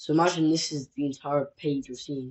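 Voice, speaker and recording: A man speaks at a fairly high pitch, somewhat breathy. His intonation stays monotone and flat. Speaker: copywriting content creator. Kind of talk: tutorial. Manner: casual, halting with self-corrections.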